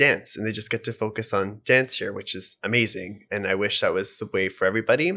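A man with a western Canadian accent, a medium pitch and a bright, sharp tone at a moderate pace, on a very clean recording with a silent background. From Canada, Edmonton, Alberta. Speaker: choreographer and dancer. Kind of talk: casual interview chat.

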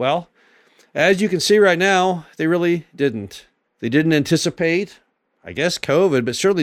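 In a normal speaking voice, someone talks at a moderate pace with ordinary pitch variation on a very clean recording with a silent background. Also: man. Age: 60s. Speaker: podcast host and real estate investor. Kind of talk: solo monologue podcast.

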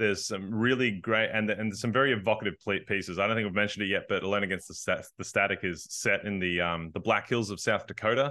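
A man's fairly low-pitched voice with ordinary pitch variation. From rural US, forested countryside. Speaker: game writer. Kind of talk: interview. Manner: hesitant, many fillers.

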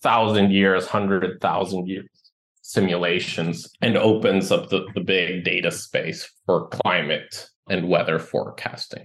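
Over a quiet background, a man with a very deep, low voice talks fairly slowly in a flat monotone. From Ecuador. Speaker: tech startup founder. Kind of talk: interview.

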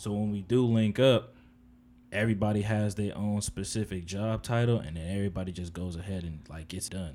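At a fairly quick pace, a man talks with a fairly low pitch, ordinary pitch variation and a dark, mellow tone. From New Jersey (Edison, Piscataway). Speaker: clothing designer. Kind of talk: casual chat.

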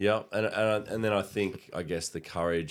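A man speaks with an Australian accent. The recording is very clean, with a silent background. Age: 30s. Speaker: podcast co-host. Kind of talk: casual chat. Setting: studio.

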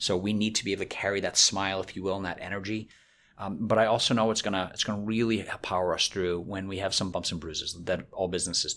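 A man with an American accent speaks at a very fast pace, fairly low in pitch and monotone. The recording is very clean, with a silent background. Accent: slight, fading Boston. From Boston area, US. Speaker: business executive. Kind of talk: interview.

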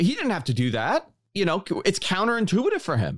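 The recording of this man with a New York accent is very clean, with a silent background. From New York City, Queens (Bayside). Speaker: podcast host. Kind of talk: casual interview.

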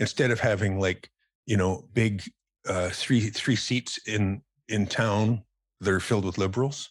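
A man with a western Canadian accent speaks in a fairly low voice. His intonation is fairly even, and the recording is very clean with a silent background. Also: fairly slow pace. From Calgary, western Canada. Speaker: philanthropist and former lawyer. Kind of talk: casual interview chat.

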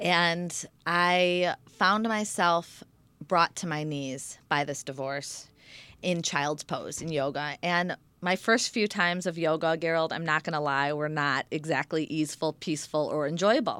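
A woman's normal speaking voice with an American accent, fairly low in pitch, with ordinary pitch variation at a fairly slow pace, on a very clean recording with a silent background. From Michigan, US. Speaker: yoga instructor and raw food chef. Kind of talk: interview.

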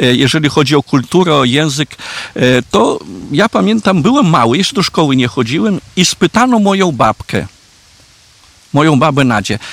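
A man with a Belarusian accent speaks at a moderate pace in a fairly high voice with very wide pitch swings, very even loudness and long, frequent pauses, all in a dry, close sound with no echo. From Podlasie, Poland, near Belarus border. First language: Belarusian (speaking Polish). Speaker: Franciscan priest, parish priest. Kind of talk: interview on history. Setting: outdoors in castle courtyard. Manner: halting.

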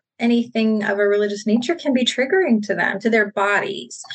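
At a moderate pace, a woman with an unremarkable speaking voice talks at a fairly high pitch. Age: 30s. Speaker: clinical psychologist. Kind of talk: interview.

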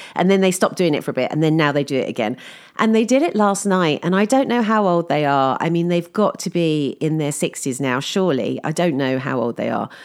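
In an English accent, a woman with a fairly low pitch speaks with hardly any pauses and very wide pitch swings. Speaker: podcaster. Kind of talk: casual monologue.

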